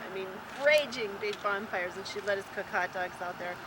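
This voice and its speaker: At a fairly quick pace, a woman with a medium-pitched voice talks over noticeable background noise. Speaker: grandmother. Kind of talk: casual chat.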